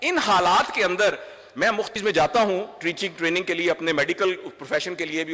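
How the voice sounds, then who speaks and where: A man speaks at a moderate pace in a high voice. Noticeable background noise runs underneath. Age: 60s. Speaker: doctor and trainer. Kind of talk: speech. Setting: stage with audience.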